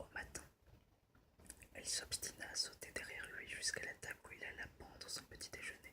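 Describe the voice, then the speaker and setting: Whispering at a moderate pace with long, frequent pauses comes through noticeable background noise. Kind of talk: storybook reading, ASMR. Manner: whispered, soft, relaxing.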